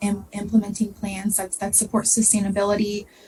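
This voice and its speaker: Noticeable background noise surrounds a woman speaking in an American accent. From southern Ohio. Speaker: graduate student presenter. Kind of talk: presentation.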